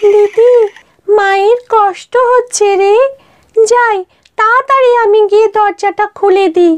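A female-sounding, cartoonish character voice pitched extremely high. It moves at a fairly slow pace.

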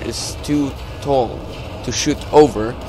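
Over noticeable background noise, a man speaks at a very slow pace in a monotone, flat intonation. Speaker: gaming YouTuber. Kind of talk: gameplay commentary. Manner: filler-heavy, hesitant.

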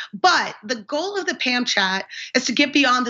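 A woman with an American accent speaks at a fairly slow pace in a high voice, her intonation lively over a quiet background. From mixed upbringing abroad, then US (California). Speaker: political candidate, navy veteran lawyer; candidate. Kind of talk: interview. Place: home room. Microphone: video call.

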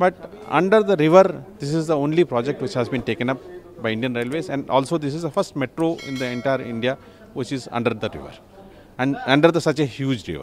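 A man talks at a very fast pace with lively intonation. Music plays behind him, and the sound is dry with no echo. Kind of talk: interview answer. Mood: proud, informative. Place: station. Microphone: handheld.

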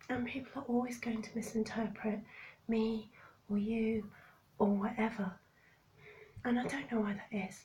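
Moderately paced, a woman with a fairly high pitch and a dark, mellow tone sounds somewhat breathy, keeps fairly even intonation, takes long, frequent pauses, and shows big swings in loudness. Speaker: vlogger. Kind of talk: casual vlog monologue.

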